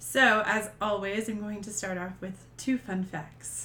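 Noticeable background noise runs under a woman's voice. She speaks at a medium pitch and a fairly slow pace. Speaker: podcast host. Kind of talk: casual chat.

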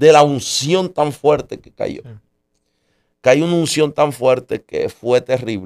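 This man's pitch sits fairly high. He speaks at a very slow pace. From Puerto Rico. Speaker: pastor. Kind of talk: testimony.

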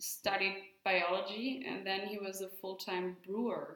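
A woman with a German accent speaks at a fairly slow pace, her pitch medium and its variation ordinary. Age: young. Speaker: winemaker. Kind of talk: casual interview. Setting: winery tasting room.

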